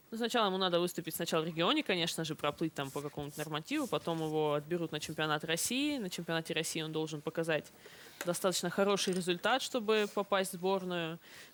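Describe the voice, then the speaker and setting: A woman talks at a very fast pace, her fairly low pitch showing ordinary variation. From Russian Far East, Kamchatka (Petropavlovsk-Kamchatsky). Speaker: Paralympic swimmer. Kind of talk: interview with children. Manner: hesitant, with fillers.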